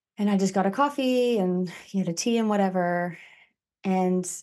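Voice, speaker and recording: This is an unremarkable speaking voice. It moves at a fairly slow pace against a quiet background. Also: woman. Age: 30s. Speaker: podcast host, interviewed as guest. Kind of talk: casual chat.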